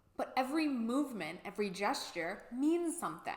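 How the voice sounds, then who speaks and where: Noticeable background noise accompanies a woman talking at a fairly quick pace in a high pitch. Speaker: YouTuber. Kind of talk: vlog monologue. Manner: animated, louder than usual for video.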